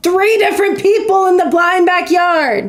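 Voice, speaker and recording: This woman speaks at an extremely high pitch. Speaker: gaming streamer. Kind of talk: live gameplay stream chat. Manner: sounds sarcastic even when serious; casual, conversational.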